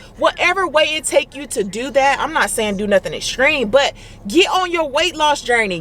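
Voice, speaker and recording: Over noticeable background noise, a woman speaks in an animated tone at a high pitch with very wide pitch swings. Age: 30s. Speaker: fitness vlogger and mother. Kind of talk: motivational vlog talk. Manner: gets louder when passionate.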